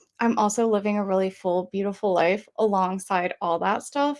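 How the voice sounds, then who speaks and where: At a fairly quick pace, a woman with an American accent speaks in a medium pitch. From US South (Georgia). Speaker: mental health advocate. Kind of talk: message of hope, testimony.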